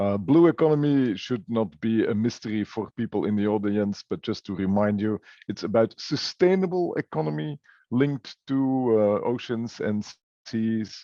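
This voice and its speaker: Using an unremarkable speaking voice, the speaker goes at a moderate pace with lively intonation. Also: man, medium pitch for a man. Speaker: business cluster executive. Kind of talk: webinar presentation.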